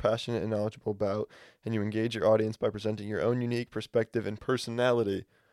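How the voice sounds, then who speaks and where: The man's medium-pitched voice runs at a very fast pace in a flat monotone, with a dry, close sound and no echo. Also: very clean recording, silent background. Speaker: podcast co-host. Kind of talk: casual chat.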